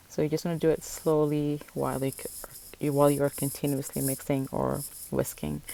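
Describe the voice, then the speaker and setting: A woman speaks with a non-native accent. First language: not English. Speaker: cooking vlogger. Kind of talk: cooking tutorial. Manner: casual, self-correcting.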